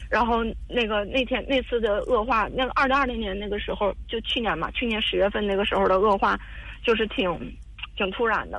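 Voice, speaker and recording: Talking at a fairly quick pace, a woman with a fairly high pitch uses fairly even intonation and vocal fry. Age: 30s. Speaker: caller seeking advice on marriage. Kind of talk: personal story on call-in advice show. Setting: phone call. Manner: halting, many fillers and repetitions.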